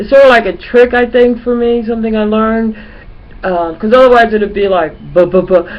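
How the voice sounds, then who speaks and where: A woman speaks at a fairly quick pace in a fairly high voice with ordinary pitch variation. Noticeable background noise can be heard. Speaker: vlogger. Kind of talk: casual webcam monologue. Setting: home webcam recording. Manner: halting, filler-heavy from childhood stutter; repeats 'you know' as stutter workaround.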